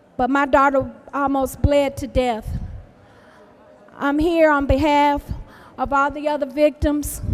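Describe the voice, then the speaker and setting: Over noticeable background noise, a woman with a high pitch talks in a flat monotone at a fairly slow pace, leaving long, frequent pauses. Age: 70s. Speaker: victim's mother. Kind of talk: public testimony speech. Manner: halting.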